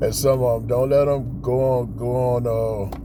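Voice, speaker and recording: A man speaks over noticeable background noise, with audible room echo around him. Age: 60s. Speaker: motivational vlogger. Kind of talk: pep talk. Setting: outdoors in a park. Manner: casual, filler-heavy.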